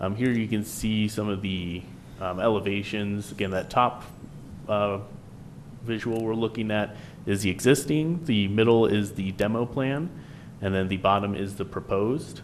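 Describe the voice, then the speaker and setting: A man talks at a moderate pace in an unremarkable speaking voice, his fairly low pitch showing ordinary pitch variation. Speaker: town planning staff presenter. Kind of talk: public meeting presentation.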